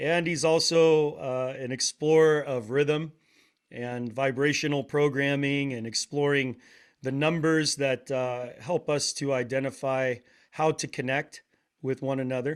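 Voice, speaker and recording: With an American accent, a man with fairly high pitch talks at a fairly slow pace in a monotone, flat intonation, in a very clean recording with a silent background. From Portland, Oregon, US. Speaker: podcast host, drummer, wellness practitioner. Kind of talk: casual interview conversation.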